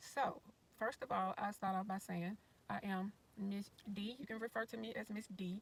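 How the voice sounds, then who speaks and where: Fairly even intonation marks a woman's somewhat breathy voice. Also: medium pitch for a woman, moderate pace. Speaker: retired RV-living YouTuber. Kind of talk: casual livestream commentary. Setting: sitting in car, livestream.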